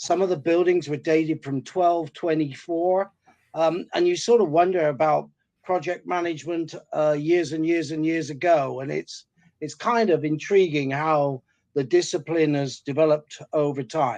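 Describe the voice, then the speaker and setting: Over a quiet background, a man with a west of England accent talks at a moderate pace. His pitch is fairly high and his intonation fairly even. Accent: west of England (Gloucestershire). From west of England, Gloucestershire. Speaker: project management consultant. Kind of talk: webinar presentation. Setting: webinar.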